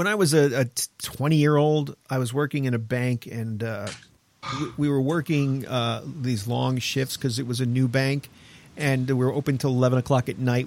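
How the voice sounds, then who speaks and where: This man has a normal speaking voice. His intonation stays fairly even. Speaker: radio host. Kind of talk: live talk radio show. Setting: studio. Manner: casual, chatty.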